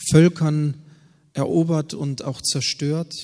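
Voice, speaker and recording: Over a silent background in a very clean recording, a man speaks very slowly in a fairly high, flat, monotone voice with a dark, mellow tone. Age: 40s. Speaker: pastor. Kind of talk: sermon.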